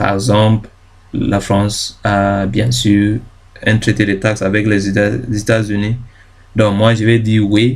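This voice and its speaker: A man's fairly low, monotone voice with flat intonation, a very slow pace and long, frequent pauses. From Ghana. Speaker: YouTube tutorial creator. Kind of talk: tutorial. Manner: halting, many fillers and self-corrections.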